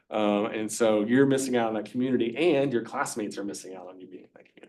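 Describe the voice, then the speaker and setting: Talking at a very fast pace in an American accent, a man at a medium pitch shows ordinary pitch variation, with audible room echo. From US South, Virginia (Covington). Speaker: university lecturer. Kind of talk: lecture. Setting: classroom.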